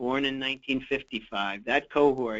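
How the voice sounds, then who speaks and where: A man with a plain, everyday voice and medium pitch speaks at a moderate pace. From USA. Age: 60s. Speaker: physician and healthcare quality expert. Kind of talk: webinar Q&A. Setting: webinar.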